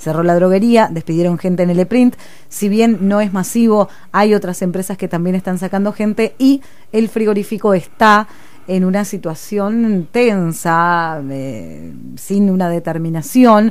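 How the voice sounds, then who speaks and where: A woman with an Argentine accent speaks at a fairly slow pace with ordinary pitch variation. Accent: Rioplatense Argentine Spanish. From Argentina, Buenos Aires province. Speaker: radio host. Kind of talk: radio interview. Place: studio. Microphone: studio mic.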